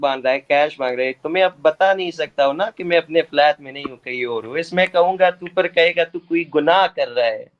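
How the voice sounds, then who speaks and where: With a non-native accent, a man speaks in a high voice at a moderate pace with hardly any pauses. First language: not Hindi (speaking Hindi). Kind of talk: heated debate. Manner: animated.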